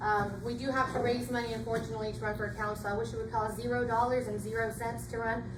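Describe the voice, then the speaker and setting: A woman talks at a very fast pace with hardly any pauses. Audible room echo and noticeable background noise surround her. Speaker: city council candidate. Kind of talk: campaign speech at public forum. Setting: public forum with audience.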